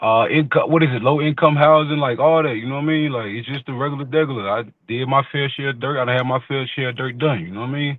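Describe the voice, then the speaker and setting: A man with a strong Southern US accent, fairly high in pitch, at a very fast pace with fairly even intonation and hardly any pauses. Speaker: podcast panelist. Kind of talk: casual chat.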